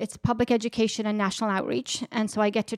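A woman with an Irish accent speaks fairly quickly at a fairly high pitch in a monotone, flat intonation. The recording is very clean with a silent background and a dry, close sound with no echo. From Ireland, border with Northern Ireland. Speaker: director of public education at a peace institute. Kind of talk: interview.

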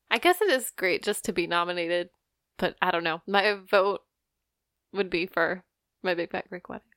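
On a very clean, dry, close recording with no echo and a silent background, a woman speaks at a moderate pace and medium pitch, with fairly even intonation and long, frequent pauses. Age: 20s. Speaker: podcast co-host. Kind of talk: casual chat.

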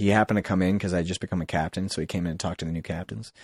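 A man's voice with an American accent, dry and close with no echo, over a quiet background. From Massachusetts, US. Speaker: airline pilot. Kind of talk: casual chat. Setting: studio.

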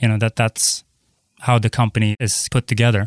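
The recording is very clean, with a silent background and a dry, close sound with no echo. A man speaks at a medium pitch. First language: Swedish and Cantonese. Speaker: tech executive. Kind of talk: interview. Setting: studio.

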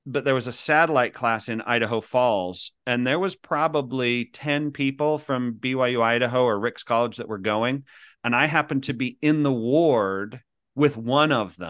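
An unremarkable speaking voice from a man with an American accent, medium pitch, moderate pace and ordinary pitch variation, against a quiet background. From Utah. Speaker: speaker and coach. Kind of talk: interview.

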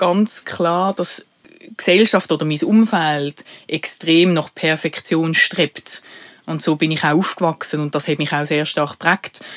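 Very slow speech in a Basel accent, on a very clean recording with a silent background. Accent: Basel Swiss German dialect. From Switzerland, Basel. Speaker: podcast co-host, HR professional. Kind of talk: casual chat.

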